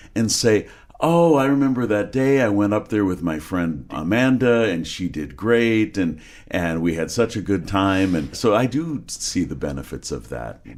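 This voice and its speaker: At a moderate pace, a man with an unremarkable speaking voice talks in a fairly low pitch with lively intonation. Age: 60s. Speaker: podcast host. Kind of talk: interview. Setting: podcast.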